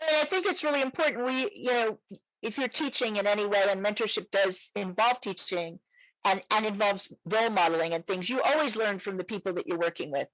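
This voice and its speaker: A woman with an unremarkable speaking voice talks at a fairly quick pace and a fairly high pitch with lively intonation, in a dry, close sound with no echo. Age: 60s. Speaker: psychologist and sex therapist podcast host. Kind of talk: interview conversation.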